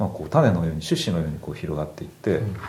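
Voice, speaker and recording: With lively intonation, a man speaks amid audible room echo. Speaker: craftsman and product maker. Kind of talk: casual chat.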